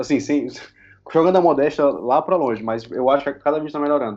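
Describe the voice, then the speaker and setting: A man delivers his words at a very fast pace. The pitch sits fairly high and shifts in an ordinary way. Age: 20s. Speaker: youtuber and film critic. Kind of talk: casual chat.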